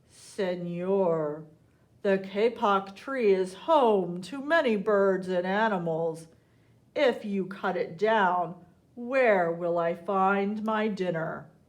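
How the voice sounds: Using a put-on, growling character voice at a medium pitch, a woman speaks very slowly with ordinary pitch variation.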